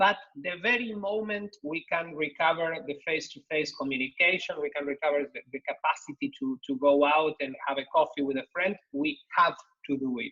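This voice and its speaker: A man with a Spanish accent speaks at a moderate pace, his fairly high pitch carrying lively intonation. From Argentina. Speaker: think-tank economist, panelist. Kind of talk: online panel discussion. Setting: video call. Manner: halting, many repetitions and fillers.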